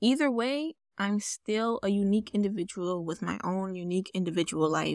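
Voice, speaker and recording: With an American accent, a woman talks in an ordinary speaking voice at medium pitch and a moderate pace, her intonation lively, on a very clean recording with a silent background. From New York, the Bronx. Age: 20s. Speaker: podcast host and poet. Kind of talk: casual monologue; poetry reading.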